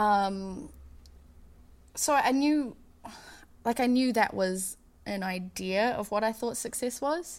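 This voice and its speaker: In a New Zealand accent, a woman speaks at a very slow pace with long, frequent pauses, a fairly high pitch and ordinary pitch variation, on a very clean recording with a silent background. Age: 30s. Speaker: touring keyboardist and singer. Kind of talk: casual interview.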